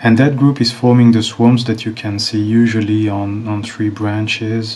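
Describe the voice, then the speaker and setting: Over noticeable background noise, a man with a non-native accent speaks at a moderate pace in a fairly low pitch with fairly even intonation. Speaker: beekeeper. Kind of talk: narrated video commentary. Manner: slightly halting.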